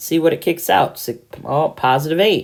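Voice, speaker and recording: A woman is speaking. Her voice has vocal fry. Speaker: math teacher. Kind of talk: tutorial.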